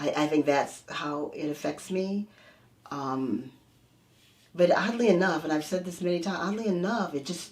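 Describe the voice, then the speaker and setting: Noticeable background noise sits behind a woman with a fairly low voice. She speaks at a moderate pace with ordinary pitch variation and long, frequent pauses. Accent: American. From United States. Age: 60s. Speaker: energy healer. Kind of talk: interview.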